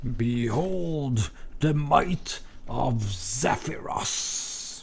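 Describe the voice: A put-on character voice moves at a very slow pace. Clear background noise runs underneath. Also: man, medium pitch for a man.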